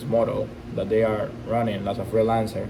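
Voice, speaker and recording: A man with a non-native accent speaks at medium pitch and a moderate pace. Noticeable background noise runs underneath. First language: not English. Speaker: e-commerce entrepreneur. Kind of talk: casual talk to camera. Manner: unscripted, raw.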